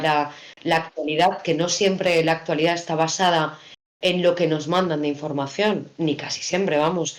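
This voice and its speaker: The woman's fairly low voice holds a monotone, flat intonation at a moderate pace. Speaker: radio announcer / broadcaster. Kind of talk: interview answer about radio work.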